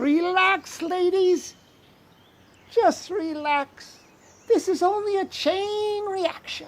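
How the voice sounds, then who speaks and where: Very slow and extremely high in pitch, a put-on character voice breaks into long, frequent pauses. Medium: stage play. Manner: grandiose, theatrical.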